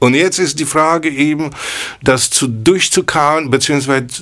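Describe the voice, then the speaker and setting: A man talks with a Polish accent and ordinary pitch variation. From Poland, Kraków. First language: Polish (speaking German). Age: 60s. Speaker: jazz pianist. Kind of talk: casual chat. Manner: halting.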